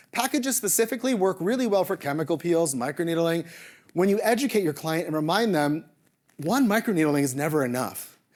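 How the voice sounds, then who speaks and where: Lively intonation and an animated tone drive this fairly quick delivery on a very clean recording with a silent background. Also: man, high pitch for a man. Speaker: medical spa co-owner, conference speaker. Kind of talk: conference presentation. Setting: stage with audience. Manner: fast.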